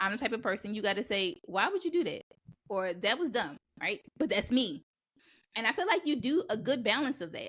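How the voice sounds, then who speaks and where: Loud and animated, a woman talks at a moderate pace. Her pitch swings very widely, and the recording is very clean with a silent background. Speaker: podcast host. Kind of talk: casual chat.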